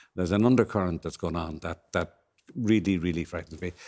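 On a very clean recording with a silent background, a man with an Irish accent talks at a fairly quick pace in a dark, mellow tone with ordinary pitch variation. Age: 70s. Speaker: panel guest commentator. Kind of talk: panel discussion.

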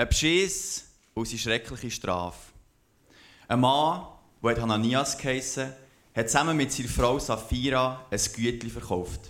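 Speaking slowly with long, frequent pauses, a man with a Bernese accent uses a medium pitch and ordinary pitch variation. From Switzerland, Aargau and Zurich. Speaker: scripture reader. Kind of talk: reading aloud.

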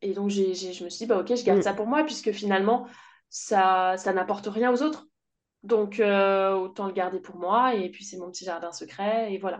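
A woman's normal speaking voice at medium pitch, with fairly even intonation, big swings in loudness, a moderate pace and a quiet background. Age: 30s. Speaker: sound therapist and voice coach. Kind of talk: casual interview.

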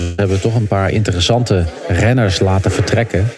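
A man speaks at a fairly quick pace with fairly even intonation. Noticeable background noise runs behind him. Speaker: cycling pundit. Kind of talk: casual chat. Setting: remote from a busy hotel lobby. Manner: halting.

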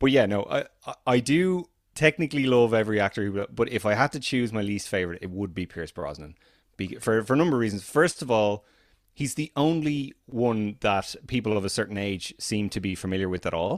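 A fairly quick voice in an Irish accent on a very clean recording with a silent background. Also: man, fairly low pitch for a man, lively intonation. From Ireland. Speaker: podcast co-host, film fan. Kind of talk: casual chat. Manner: animated, often repeats words.

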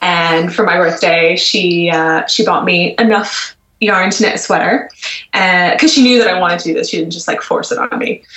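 The speaker has an American accent, and their pitch varies in an ordinary way. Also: woman. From US, Washington D.C. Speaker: magazine co-editor and knitwear designer. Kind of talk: casual interview.

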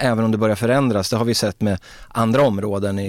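Speaking at a fairly quick clip with fairly even intonation, this is an unremarkable speaking voice. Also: man. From Sweden, Örebro. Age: 50s. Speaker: former footballer. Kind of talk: casual interview.

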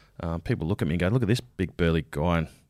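A man with an Australian accent talks at a very fast pace in a very deep, low voice with vocal fry, on a very clean recording with a silent background. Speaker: army veteran and painter. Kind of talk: interview. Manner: halting, many filler words.

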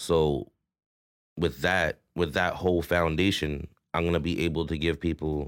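A man with a very deep, low pitch and a Toronto accent talks at a moderate pace with fairly even intonation on a very clean recording with a silent background. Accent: Toronto urban Canadian English. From Toronto, Canada (Rexdale, Etobicoke). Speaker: rapper and entrepreneur. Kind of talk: casual interview chat.

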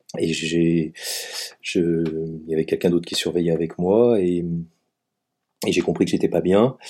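A man talks at a fairly slow pace, leaving long, frequent pauses. His very deep, low voice has a dark, mellow tone and fairly even intonation. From Savoie, France. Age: 50s. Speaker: teacher. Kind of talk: testimony.

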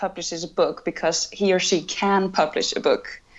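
A woman speaks in an Icelandic accent at medium pitch. Her pace is fairly quick. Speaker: cultural correspondent. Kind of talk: interview.

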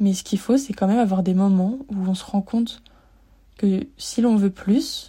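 A woman's medium-pitched, somewhat breathy voice with a dark, mellow tone and fairly even intonation, on a very clean recording with a silent background. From France, Lyon. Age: 20s. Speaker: podcaster, student. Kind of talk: personal monologue. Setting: laundry room of an apartment. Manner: hesitant.

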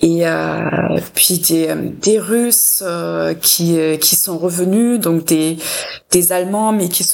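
Against noticeable background noise, a woman speaks at a medium pitch and a very slow pace. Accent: German. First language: German (speaking French). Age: 40s. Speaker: cultural institute director. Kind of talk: radio interview.

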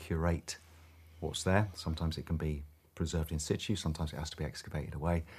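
This man's voice is very deep and low, with a somewhat breathy quality. He talks very fast in a flat monotone. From southeast England. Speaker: crofter and firefighter. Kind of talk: interview.

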